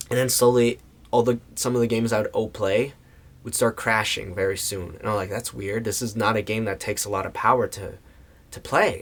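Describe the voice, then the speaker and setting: Somewhat breathy, a man with an American accent speaks at medium pitch. His pace is moderate and his intonation fairly even. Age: 20s. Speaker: voice actor. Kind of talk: casual talk to camera.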